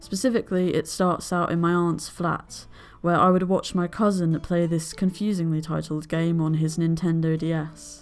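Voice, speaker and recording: A woman's fairly low voice in a flat, monotone delivery. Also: moderate pace. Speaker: video essayist. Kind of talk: scripted narration.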